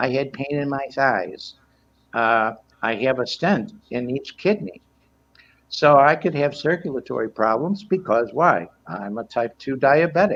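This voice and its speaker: Speaking at a fairly slow pace, a man with a fairly high voice makes very wide pitch swings. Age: 70s. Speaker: healthcare worker. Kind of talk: casual chat.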